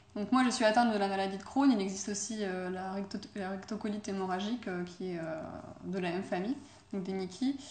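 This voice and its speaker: There is audible room echo and noticeable background noise. A woman talks at a fairly quick pace. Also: medium pitch for a woman, fairly even intonation. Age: 20s. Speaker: former au pair, student. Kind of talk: interview. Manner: hesitant, many fillers.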